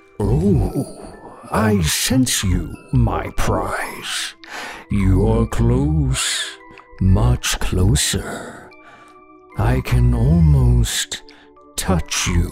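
Over clear background music, a man performs a put-on character voice at a very deep, low pitch. He speaks at a very slow pace. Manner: menacing, hungry.

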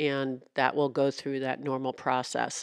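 At a fairly slow pace, a woman talks. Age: 60s. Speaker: local news reporter and podcast host. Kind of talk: casual chat; interview.

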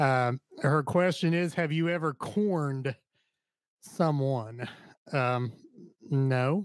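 Pausing long and often, a man speaks very slowly at fairly high pitch, his loudness very even and his pitch variation ordinary. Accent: Ohio. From Southern Ohio. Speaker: podcast co-host. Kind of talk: casual chat.

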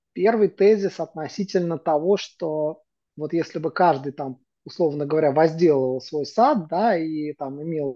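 At a fairly slow pace, a woman speaks with a very deep, low pitch and ordinary pitch variation. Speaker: PR agency CEO. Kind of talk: casual chat. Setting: video call. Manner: hesitant, many filler words.

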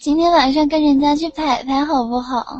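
This woman's high voice stays monotone, with flat intonation throughout. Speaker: voice chat room hostess. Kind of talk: casual chat.

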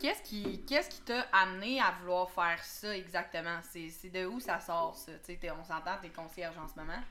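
Over noticeable background noise, a woman talks with hardly any pauses and big swings in loudness. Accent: Quebec. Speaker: podcast host. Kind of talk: casual chat. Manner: animated.

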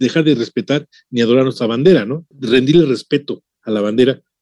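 The man speaks at a fairly quick pace. His intonation is lively. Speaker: radio host. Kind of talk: radio interview.

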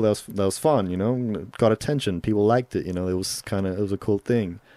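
On a very clean recording with a silent background, a man with an American accent speaks at a fairly quick pace in a fairly low voice with a dark, mellow tone. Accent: Australian with a slight American twang. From Solomon Islands. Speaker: videographer and rapper. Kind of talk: casual interview chat. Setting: studio.

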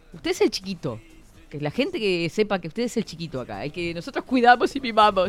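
Music plays behind a woman speaking at a fairly quick pace in a fairly high pitch. Her pitch swings very widely and her loudness swings a lot. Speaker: radio host. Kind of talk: casual chat. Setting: studio. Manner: animated.

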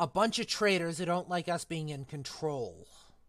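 A growling put-on character voice at a middle pitch and moderate pace. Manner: snarling.

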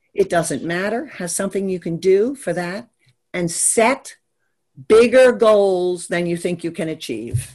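A woman speaks in an ordinary speaking voice with an American accent, her pitch medium. She talks at a fairly slow pace against a quiet background. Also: lively intonation. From Maryland, US. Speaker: business strategist. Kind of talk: interview chat.

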